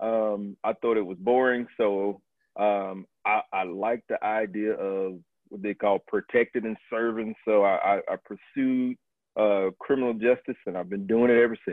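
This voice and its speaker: Someone with an American accent speaks at a fairly slow pace in a monotone, flat delivery. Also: man, fairly low pitch for a man. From US South, Tallahassee, Florida. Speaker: Marine Corps officer. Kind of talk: interview.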